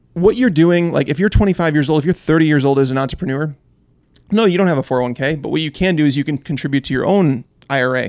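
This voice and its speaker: A man with an American accent, fairly high in pitch, at a very fast pace. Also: ordinary pitch variation. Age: 30s. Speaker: fantasy football analyst. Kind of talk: casual interview.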